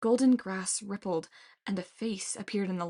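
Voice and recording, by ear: The clip is reading aloud in a natural voice. Pitch variation is ordinary.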